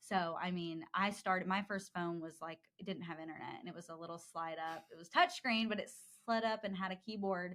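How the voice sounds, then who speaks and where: This woman has an ordinary speaking voice and talks at a fairly quick pace. Her loudness swings widely, while her pitch varies in an ordinary way. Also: medium pitch for a woman. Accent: American. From US South, Georgia (Dallas, near Atlanta). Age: 20s. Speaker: advertising account executive. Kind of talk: podcast interview. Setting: studio.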